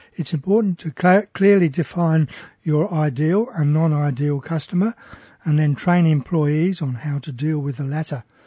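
A man's dark, mellow voice with an Australian accent, fairly high in pitch with ordinary pitch variation, at a moderate pace, in a dry, close sound with no echo. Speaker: radio host. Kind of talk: radio talk show. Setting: radio studio.

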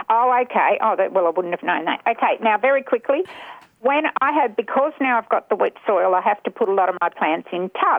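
A woman with an Australian accent talks at a fairly quick pace with a fairly high pitch. Her pitch swings very widely while her loudness stays very even. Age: 70s. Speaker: caller. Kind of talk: radio talkback. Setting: phone call.

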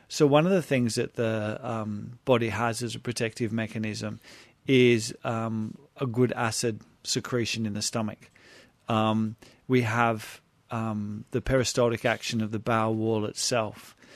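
Against a quiet background, a man with an Australian accent speaks at a fairly slow pace in a monotone, flat delivery. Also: medium pitch for a man. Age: 50s. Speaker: health practitioner. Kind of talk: radio interview.

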